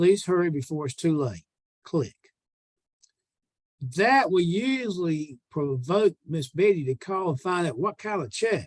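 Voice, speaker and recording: Speaking with a Southern US accent in a high pitch, a man moves at a fairly slow pace with lively intonation and long, frequent pauses, the sound dry and close with no echo. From US South. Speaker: sales trainer. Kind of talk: sales training call.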